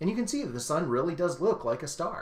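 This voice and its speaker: A man talks in an animated tone. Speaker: astronomer and science communicator. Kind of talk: live-streamed educational talk for kids. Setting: live stream. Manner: fast.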